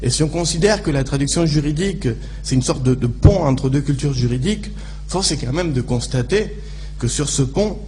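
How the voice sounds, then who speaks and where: Moderate-paced speech from a man, amid audible room echo and noticeable background noise. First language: Spanish (speaking French). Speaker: legal translator, conference speaker. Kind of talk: conference talk. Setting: conference room with audience. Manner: halting, many fillers and repetitions.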